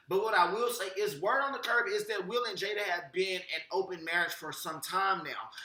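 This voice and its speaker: Over noticeable background noise, a man with a high pitch and ordinary pitch variation uses a raised, projected voice at a fairly quick pace with hardly any pauses. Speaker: celebrity gossip vlogger. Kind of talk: casual commentary to camera.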